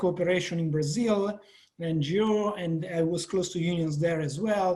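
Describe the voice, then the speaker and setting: A man with an Italian accent, high-pitched, his intonation fairly even. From Italy. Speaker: professor. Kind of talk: panel discussion.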